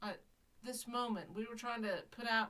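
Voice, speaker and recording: Her tone bright and sharp, a woman speaks with a Southern US accent. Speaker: podcast host. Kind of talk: casual chat.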